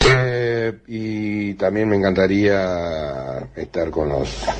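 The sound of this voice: A man's low voice at a slow pace, with ordinary pitch variation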